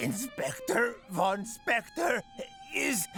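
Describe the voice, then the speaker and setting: A man's cartoonish character voice at an extremely high pitch, with lively intonation and clear music in the background. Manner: melodramatic, cheeky.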